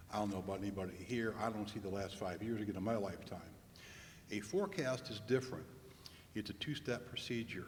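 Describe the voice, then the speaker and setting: There is audible room echo around this speaker. He is a man talking at a medium pitch. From Indiana, Fort Wayne. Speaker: demographer. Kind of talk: presentation. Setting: public meeting with audience.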